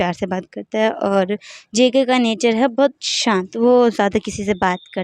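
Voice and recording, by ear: Pitch moves in an ordinary way as the text is read aloud in a natural voice.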